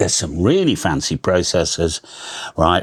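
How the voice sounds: The voice belongs to a man with low pitch and a slightly husky edge. He talks at a moderate pace.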